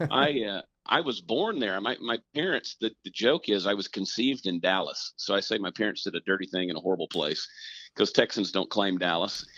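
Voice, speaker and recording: Speaking at a fairly quick pace, a man with a Southern US accent uses a fairly low pitch and lively intonation. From US South, Augusta, Georgia. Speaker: comedian. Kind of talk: casual chat.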